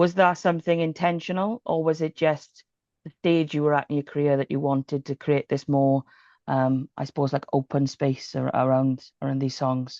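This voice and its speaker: In a dark, mellow tone, a woman with a very deep, low pitch speaks at a moderate pace with fairly even intonation, against a quiet background with a dry, close sound and no echo. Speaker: music interviewer. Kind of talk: interview questions.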